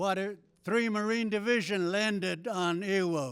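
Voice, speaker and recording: In a very clean recording with no background sound, a man with a Southwestern US accent speaks in a high voice with ordinary pitch variation. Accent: Navajo-accented English. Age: 90s. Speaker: war veteran. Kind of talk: ceremonial speech. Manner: halting.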